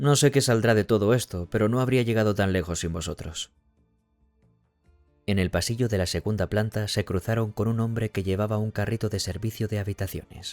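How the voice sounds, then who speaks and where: Music plays behind a man speaking at a fairly quick pace. The sound is dry and close with no echo, and his pitch varies in an ordinary way. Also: fairly low pitch for a man. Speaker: audiobook narrator. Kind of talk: audiobook reading.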